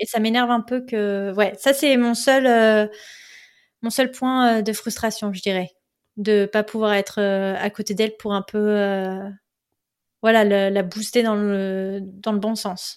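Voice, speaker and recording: On a very clean recording with a silent background, a woman speaks very slowly with long, frequent pauses, her fairly high pitch held in a monotone, flat intonation. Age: 20s. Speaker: podcast host, expatriate. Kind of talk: interview, personal storytelling.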